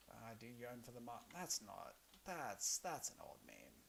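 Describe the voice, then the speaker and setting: A man with an Australian accent speaks at a fairly quick pace. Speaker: streamer and comedian. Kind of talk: casual gaming livestream chat. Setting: livestream while gaming.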